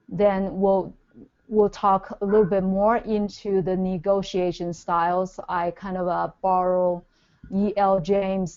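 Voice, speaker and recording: A woman with a Chinese accent speaks at a medium pitch in a monotone, flat intonation. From China. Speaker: business speaker. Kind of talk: webinar presentation. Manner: halting.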